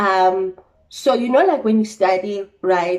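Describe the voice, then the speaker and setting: A woman with a plain, everyday voice talks at a fairly slow pace with ordinary pitch variation. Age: 20s. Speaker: trainee accountant. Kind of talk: casual talk to camera.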